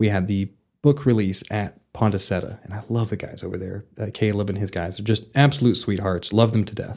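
A man speaks with a Texan accent at a fairly low pitch and fairly even intonation. The recording is very clean, with a silent background. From Vernon, Texas. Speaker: novelist and repair business owner. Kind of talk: interview.

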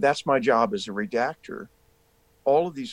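A man with an American accent speaks at a moderate pace in a normal speaking voice. His medium-pitched delivery has lively intonation. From US South, rural South Carolina. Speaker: actor. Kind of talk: interview conversation.

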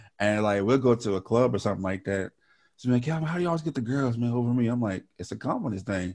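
A man talks at a very fast pace in a medium pitch. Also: lively intonation. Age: young. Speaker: podcast host. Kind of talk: casual chat.

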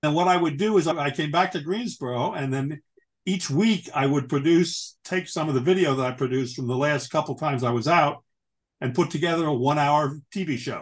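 Against a quiet background, a man talks at a fairly quick pace in an ordinary speaking voice. His pitch is fairly high, with ordinary pitch variation. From New York. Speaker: author and retired chemical industry worker. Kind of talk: interview.

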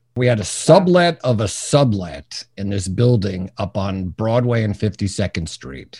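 In an American accent, this somewhat breathy voice has a dark, mellow tone, lively intonation, big swings in loudness, hardly any pauses and a fairly slow pace. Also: man, fairly low pitch for a man. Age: 60s. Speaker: business coach. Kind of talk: interview.

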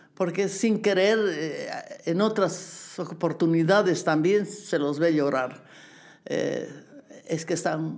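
Speaking at a very slow pace, a woman uses a fairly low pitch with ordinary pitch variation. Room echo is audible. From Bolivia. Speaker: dancer and choreographer. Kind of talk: interview. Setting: at home.

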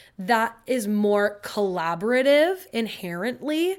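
On a very clean recording with a silent background, a woman speaks at a fairly high pitch in an animated tone. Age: 20s. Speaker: solo podcast host. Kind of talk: casual chat.

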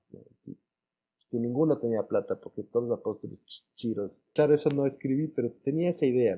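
Man with a dark, mellow tone at medium pitch, fairly quick pace, ordinary pitch variation and long, frequent pauses. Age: 40s. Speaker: writer and lawyer. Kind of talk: interview. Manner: halting, many fillers and repetitions.

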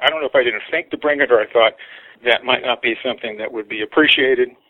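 The intonation stays fairly even throughout. It is a man who speaks. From United States. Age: 60s. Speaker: artist. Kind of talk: interview storytelling.

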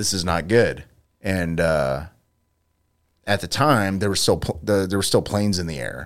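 A man's very deep, low voice with vocal fry at a moderate pace, on a very clean recording with a silent background. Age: 40s. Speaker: podcast co-host. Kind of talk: casual chat.

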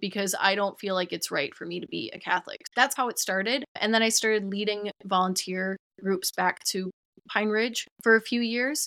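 A woman with an Upper Midwest accent talks at a moderate pace in a medium pitch, her tone bright and sharp. Her pitch varies in an ordinary way, and the sound is dry and close with no echo. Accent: Upper Midwest American. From Minnesota, Twin Cities. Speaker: TikTok creator on ancestral healing. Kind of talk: casual interview chat.

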